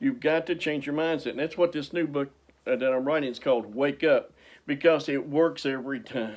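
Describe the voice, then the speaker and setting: A man speaks in a normal speaking voice with ordinary pitch variation, recorded very cleanly against a silent background. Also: fairly high pitch for a man, fairly quick pace. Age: 60s. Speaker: motivational speaker and author. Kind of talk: motivational talk.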